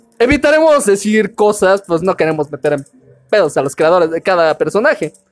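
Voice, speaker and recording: Music plays in the background as a man speaks with lively intonation in a dry, close sound with no echo. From Mexico, Veracruz. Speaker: podcast host. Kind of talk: casual chat.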